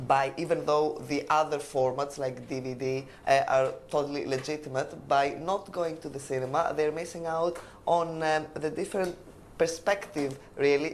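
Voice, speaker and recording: A woman speaks with a Greek accent. Her pitch is very deep and low, and her intonation is fairly even. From Greece, Crete. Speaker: language exam candidate. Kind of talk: oral exam interview. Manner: hesitant, many fillers.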